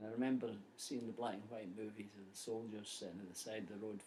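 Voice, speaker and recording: This man has a Scottish accent and a fairly low voice. His intonation stays monotone and flat. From Scotland. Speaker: poet. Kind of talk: casual introduction to a poem.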